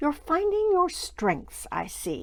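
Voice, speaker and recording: A put-on character voice at a high pitch. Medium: read story. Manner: solemn, commanding.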